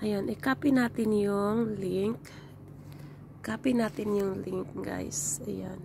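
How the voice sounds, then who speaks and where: Here a woman is talking. Her pace is very slow. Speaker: tutorial vlogger. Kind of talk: tutorial. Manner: halting.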